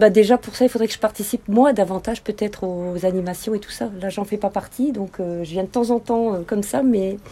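Fairly quick, woman's speech at a medium pitch, ordinary in its pitch variation, with hardly any pauses. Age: 50s. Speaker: amateur tennis player. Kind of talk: casual interview. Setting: outdoors. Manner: halting.

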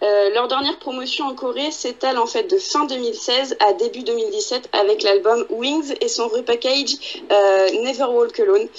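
A woman's high-pitched voice with very wide pitch swings over noticeable background noise. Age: 20s. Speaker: podcast co-host. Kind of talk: casual chat.

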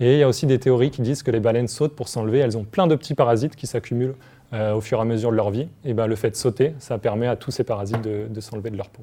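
Somewhat breathy and dark, mellow in tone, the voice moves at a very fast pace with fairly even intonation. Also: man, medium pitch for a man. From Paris region, France. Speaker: marine bioacoustician. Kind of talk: explaining science to children. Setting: TV studio set.

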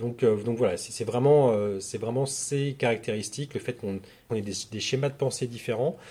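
Speaking fairly slowly, a man keeps his pitch variation ordinary. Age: 40s. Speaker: agency founder in recruitment marketing. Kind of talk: interview. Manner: halting.

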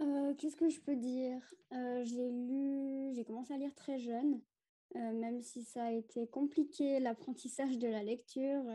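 Speaking fairly slowly, a woman has a high pitch, a dark, mellow tone and fairly even intonation. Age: 20s. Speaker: nursing student and book blogger. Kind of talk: casual chat.

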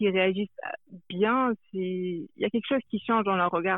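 Fairly even intonation and a fairly slow pace from a woman at a medium pitch. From France. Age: 20s. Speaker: anonymous interviewee, social media account creator. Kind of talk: interview. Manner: hesitant.

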